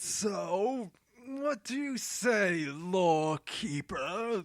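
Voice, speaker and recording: Using a put-on character voice, a man speaks with a high pitch and lively intonation. His pace is very slow. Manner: aggressive, demanding.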